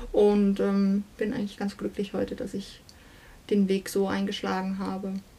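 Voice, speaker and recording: A woman speaks at a moderate pace with medium pitch and a monotone, flat intonation. Her voice is somewhat breathy, with a dark, mellow tone. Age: 30s. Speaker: singer and estate agent. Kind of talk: interview. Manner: hesitant, many fillers.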